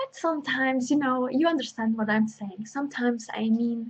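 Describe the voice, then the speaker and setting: A woman with a non-native accent, fairly high pitch, fairly even intonation and a moderate pace. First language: not English. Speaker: intuitive healer and astrologer. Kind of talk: spiritual workshop talk with guided invocation. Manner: halting, with many fillers.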